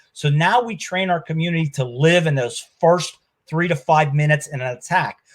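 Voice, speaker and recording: At a moderate pace, a man with a fairly high pitch and ordinary pitch variation talks in an unremarkable speaking voice. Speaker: security expert, law enforcement background. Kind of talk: webinar presentation.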